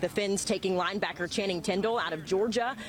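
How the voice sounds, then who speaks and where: The speaker sounds upbeat and talks at a fairly quick pace over noticeable background noise. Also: woman. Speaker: sports anchor. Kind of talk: TV sports news report.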